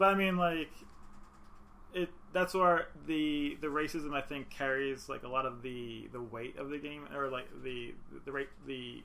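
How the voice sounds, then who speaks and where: Speaking with an American accent at a fairly slow pace, a man has a plain, everyday voice pitched fairly high. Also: ordinary pitch variation. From New York. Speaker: podcast co-host. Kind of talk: casual chat.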